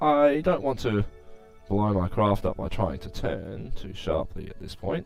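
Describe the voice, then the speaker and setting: Lively intonation from a man at a moderate pace, with music in the background. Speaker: gameplay commentator. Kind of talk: casual gameplay commentary.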